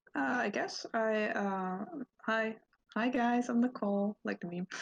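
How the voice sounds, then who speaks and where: At a fairly slow pace, a woman with a fairly high voice and a non-native accent speaks with lively intonation. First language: Dutch. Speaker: podcast guest. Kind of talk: casual chat.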